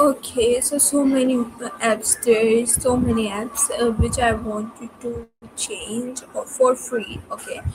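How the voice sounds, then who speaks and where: With music in the background, a woman speaks at a very slow pace with hardly any pauses, her high pitch held in a monotone, flat intonation. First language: not English. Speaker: student. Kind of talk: casual chat. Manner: halting, many fillers.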